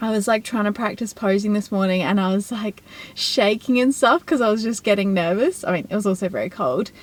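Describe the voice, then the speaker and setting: This woman speaks at a medium pitch. Her pitch variation is ordinary. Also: fairly quick pace. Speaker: bikini fitness competitor and vlogger. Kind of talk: casual vlog talk. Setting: at home, early morning; outdoors in front of salon. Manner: quiet.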